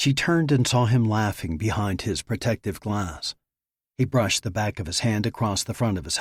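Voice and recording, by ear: Someone reads aloud, using a natural voice. Nothing much sounds in the quiet background.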